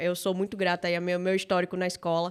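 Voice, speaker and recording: The speaker has a Bahian accent. The recording is very clean and the background silent. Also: woman. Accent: Bahian Brazilian Portuguese. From Salvador, Bahia, Brazil. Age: 30s. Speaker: startup founder and CEO. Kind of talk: podcast interview.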